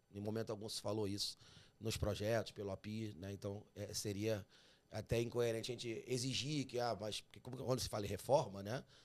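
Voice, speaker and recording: Speaking at a moderate pace in a slight Carioca accent, a man talks with medium pitch and fairly even intonation. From Rio de Janeiro, Brazil. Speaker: tax podcast host. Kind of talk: interview.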